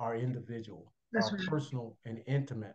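With an American accent, a man speaks in a medium pitch with ordinary pitch variation and a somewhat breathy, dark, mellow tone. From Chicago, US Midwest. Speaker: retired pastor. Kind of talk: faith testimony interview.

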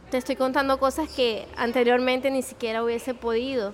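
At a moderate pace, a woman speaks in a high pitch with monotone, flat intonation. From Venezuela. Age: 30s. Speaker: accountant sharing her story of chronic illness. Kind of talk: interview, personal testimony. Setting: in-person, in a café.

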